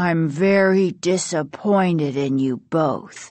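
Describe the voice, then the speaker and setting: A raspy put-on character voice at a middle pitch and a fairly slow pace. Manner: cool, not angry.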